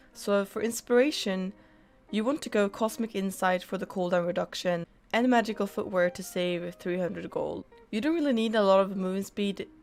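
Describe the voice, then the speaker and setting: Music plays behind a woman speaking at a fairly quick pace. Her pitch is medium, with ordinary variation. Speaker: gaming streamer giving a game guide. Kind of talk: tutorial. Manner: scripted, steady explanatory delivery.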